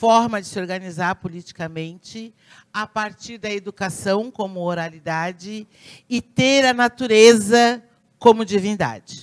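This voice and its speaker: Very slowly, a woman of medium pitch speaks with big swings in loudness in a very clean recording with a silent background. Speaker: pediatrician and community leader. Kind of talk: conference talk.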